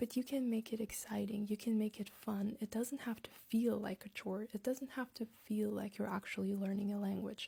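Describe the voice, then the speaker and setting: A woman's medium-pitched, somewhat breathy voice in a Latvian accent, with a dark, mellow tone, monotone, flat intonation and a moderate pace. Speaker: language-learning content creator. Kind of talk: casual vlog talk with tips.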